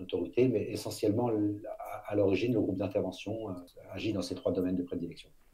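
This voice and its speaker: A man's somewhat breathy, dark, mellow voice at a fairly quick pace with fairly even intonation. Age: 50s. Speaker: former elite police officer, public speaker. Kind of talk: interview.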